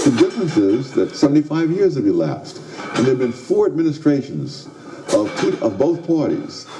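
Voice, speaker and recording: Clear background noise is present throughout. Over it, a man speaks at an average speed. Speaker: economist. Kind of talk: interview.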